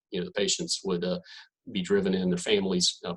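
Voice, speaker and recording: Talking at a very fast pace, a man speaks with a Southern accent. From North Carolina. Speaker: physician. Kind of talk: presentation.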